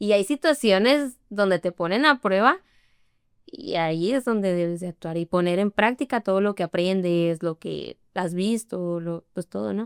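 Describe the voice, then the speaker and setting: Recorded very cleanly against a silent background, with a dry, close sound and no echo, a woman speaks at a medium pitch and a fairly slow pace with lively intonation. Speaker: interview guest. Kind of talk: casual interview chat.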